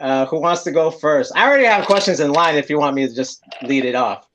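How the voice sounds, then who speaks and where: A man talks with an American accent in a plain, everyday voice that is fairly high in pitch. He moves at a fairly quick pace with ordinary pitch variation and hardly any pauses. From San Francisco, US West Coast. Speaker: podcast host. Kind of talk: casual chat. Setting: livestream.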